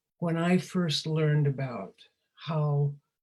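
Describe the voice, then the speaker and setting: A very deep, low-pitched woman's voice, dark and mellow in tone, somewhat breathy, at a very slow pace. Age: 80s+. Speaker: former teacher and speaker on wellbeing. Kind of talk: casual interview conversation.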